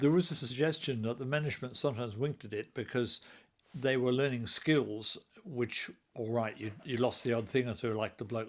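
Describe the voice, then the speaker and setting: A man uses an ordinary speaking voice of medium pitch, with fairly even intonation and a fairly quick pace. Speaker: interviewer. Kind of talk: interview questions.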